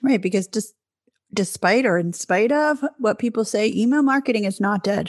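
A woman's fairly high, somewhat breathy voice at a moderate pace, with ordinary pitch variation, very even loudness and a dry, close sound free of echo. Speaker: podcast host, business manager. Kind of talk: casual conversational podcast.

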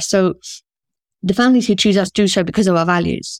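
On a very clean recording with a silent background and a dry, close sound with no echo, a woman speaks in a southern English accent. Her medium pitch holds fairly even intonation at a fairly quick pace. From southern England, rural Oxfordshire; teens in Singapore. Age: 50s. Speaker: school founder and director. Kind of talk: casual interview.

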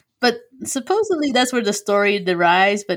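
The recording is very clean, with a silent background. A woman talks at a fairly quick pace. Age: 20s. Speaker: podcast host, guest. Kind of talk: casual chat, storytelling. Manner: animated.

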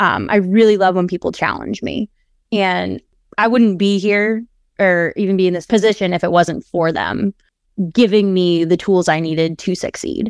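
A woman speaks at a moderate pace with a medium pitch and fairly even intonation. The recording is very clean with a silent background and a dry, close sound with no echo. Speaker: paralegal. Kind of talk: interview. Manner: confident.

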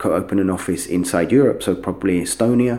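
This man speaks with a London accent at a moderate pace. His pitch is fairly low, with ordinary variation. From London, England. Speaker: software company CEO. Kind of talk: interview.

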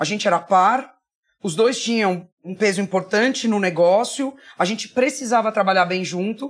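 Here is an ordinary speaking voice from a woman with a fairly high pitch. She talks at a moderate pace with lively intonation. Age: 40s. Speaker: marketing executive. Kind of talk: interview.

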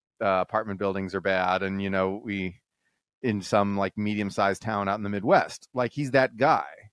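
A man with an American accent has a plain, everyday voice and a fairly low pitch at a moderate pace. The sound is dry and close with no echo, over a quiet background. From Texas. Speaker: economist. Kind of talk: casual chat.

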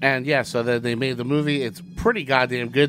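A man talks at a fairly quick pace. He has a normal speaking voice. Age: 30s. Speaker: comedy podcast host. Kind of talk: casual chat.

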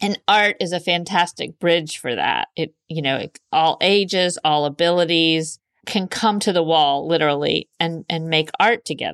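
A woman with an ordinary speaking voice talks at a moderate pace in a fairly low pitch, with fairly even intonation and hardly any pauses. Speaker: artist, community organizer. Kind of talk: interview conversation.

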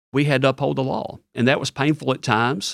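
In a very clean recording with a silent background and a dry, close sound with no echo, a man with a Tennessee accent talks at a very fast pace with fairly even intonation. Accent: Southern US (Tennessee). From West Tennessee. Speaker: state official, former state legislator. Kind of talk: interview.

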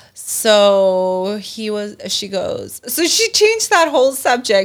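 Fairly high-pitched female speech, the recording very clean and the background silent. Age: 30s. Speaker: entrepreneur. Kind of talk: casual chat.

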